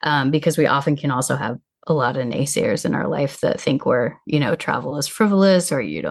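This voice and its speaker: Speaking fairly quickly in an American accent, a woman with a very deep, low pitch and vocal fry uses lively intonation. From US Midwest. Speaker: travel coach. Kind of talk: podcast interview.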